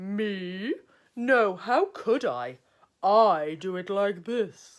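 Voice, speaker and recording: A woman's put-on character voice, medium in pitch, at a very slow pace. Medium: read story.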